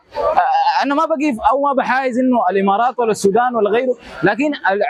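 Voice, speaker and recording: Against noticeable background noise, a man with a Sudanese accent speaks at an extremely high pitch and a fairly quick pace, with lively intonation. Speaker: street interviewee. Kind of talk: street interview opinion. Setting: outdoors, street. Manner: halting.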